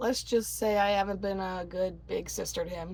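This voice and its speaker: A raspy put-on character voice from a woman at a moderate pace. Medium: read story. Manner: curt, tough.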